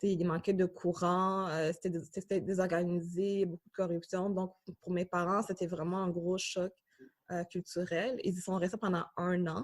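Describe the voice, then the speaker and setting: Monotone, flat intonation accompanies a fairly slow pace. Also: woman, medium pitch for a woman. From Tanzania refugee camp, then Canada from early childhood. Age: 20s. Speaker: graduate student. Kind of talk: interview testimony. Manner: halting, many fillers.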